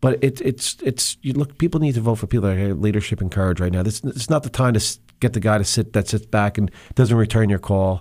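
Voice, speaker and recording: Speaking very fast with a New Jersey accent, a man has a fairly low pitch and ordinary pitch variation. The recording is very clean, with a silent background. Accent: New Jersey American. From New Jersey, Monmouth County. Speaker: state legislator, former police officer. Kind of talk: radio interview.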